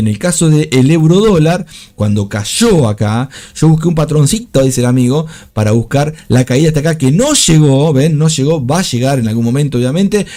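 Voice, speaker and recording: A man's fairly high pitch with very wide pitch swings. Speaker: trading streamer. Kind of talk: live trading commentary. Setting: live stream. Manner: fast.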